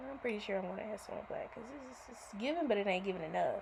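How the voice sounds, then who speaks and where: A woman speaks in a somewhat breathy voice. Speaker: nail technician. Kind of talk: tutorial.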